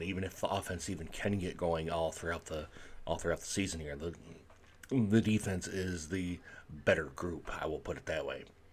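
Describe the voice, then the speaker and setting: A man speaks at a moderate pace with a very deep, low pitch and fairly even intonation, somewhat breathy. The recording is very clean with a silent background. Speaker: sports vlogger. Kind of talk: casual sports commentary. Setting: at home. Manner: quiet, low volume; hesitant, many fillers.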